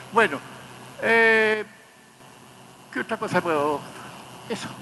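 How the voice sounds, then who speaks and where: A man speaks in a raised, projected voice, pitched high for a man, at a very slow pace. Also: ordinary pitch variation. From Chile. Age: 80s+. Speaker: torture survivor, witness. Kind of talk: court testimony. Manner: halting.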